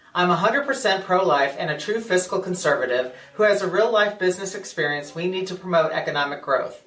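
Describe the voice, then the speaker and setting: Heard with audible room echo, a man speaks with an American accent and lively intonation. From US Midwest, St. Charles, Missouri; Missouri. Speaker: political candidate; candidate. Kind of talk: campaign speech. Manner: formal. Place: office.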